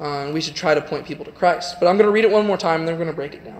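A man speaks with a Southern US accent and a high pitch. His intonation is fairly even. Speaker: youth preacher. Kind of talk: sermon. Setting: church. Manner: informal. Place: church.

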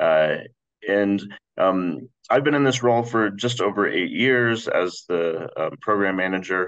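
Against a quiet background, a man talks in an ordinary speaking voice, fairly low in pitch with ordinary pitch variation and a fairly slow pace. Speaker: fraud education program manager. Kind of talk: panel presentation. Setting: video call. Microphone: video call.

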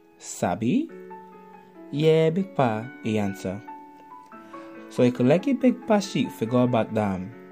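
Music plays in the background as a man talks at a fairly slow pace. He speaks with an American accent. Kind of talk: children's story narration.

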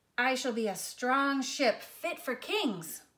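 Slowly and in a put-on character voice, a woman speaks at a high pitch with big pitch swings and a fairly bright tone.

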